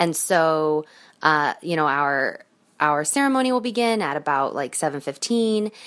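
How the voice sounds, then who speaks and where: Very wide pitch swings at a moderate pace. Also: woman, very deep, low pitch for a woman. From US Midwest, Chicago. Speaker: caller, bride-to-be. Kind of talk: voicemail message.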